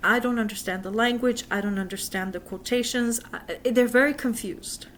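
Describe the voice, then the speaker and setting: This woman has an ordinary speaking voice, pitched fairly high with ordinary pitch variation. She talks at a moderate pace. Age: 50s. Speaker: religious vlogger. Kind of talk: casual religious talk to camera.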